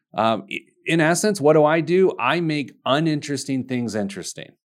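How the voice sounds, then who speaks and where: A man uses a normal speaking voice with lively intonation at a moderate pace. The recording is very clean, with a silent background. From US Midwest, Indianapolis, Indiana. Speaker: financial advisor and business owner. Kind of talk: interview.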